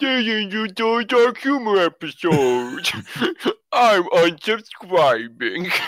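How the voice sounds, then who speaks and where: This put-on character voice sits at a fairly high pitch and moves through very wide pitch swings. It goes at a fairly slow pace. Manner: mocking.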